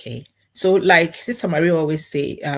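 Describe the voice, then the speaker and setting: The speaker uses a calm tone and a somewhat breathy voice at a moderate pace with ordinary pitch variation, in a very clean recording with a silent background. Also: woman. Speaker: Bible study guest. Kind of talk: Bible teaching.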